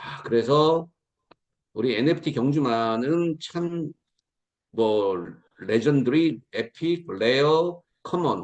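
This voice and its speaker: Pausing long and often, a man speaks with lively intonation at a fairly high pitch. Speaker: lecturer at online business meeting. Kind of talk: promotional lecture. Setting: video call. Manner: fast; animated.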